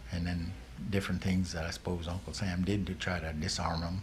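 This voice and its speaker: A man at a moderate pace, ordinary pitch variation, with audible room echo. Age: 70s. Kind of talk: oral history interview. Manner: halting, many fillers and restarts.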